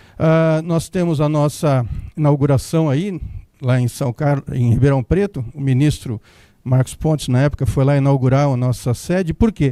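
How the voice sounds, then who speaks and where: In a dry, close sound with no echo, a man's fairly high-pitched voice has a dark, mellow tone and ordinary pitch variation. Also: moderate pace. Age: 60s. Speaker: company CEO. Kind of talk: conference talk. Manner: casual, with hesitations.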